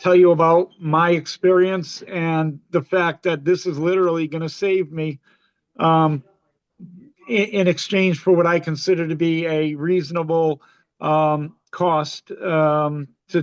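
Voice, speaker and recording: This man's voice is high-pitched and delivered at a fairly slow pace. His intonation is flat and monotone. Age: 60s. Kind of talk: public testimony. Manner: halting, many fillers.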